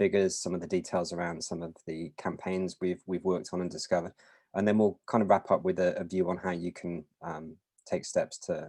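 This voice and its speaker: Very deep and low in pitch, a man speaks fairly quickly in a flat monotone with a British accent. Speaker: mobile security vendor presenter. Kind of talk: webinar presentation.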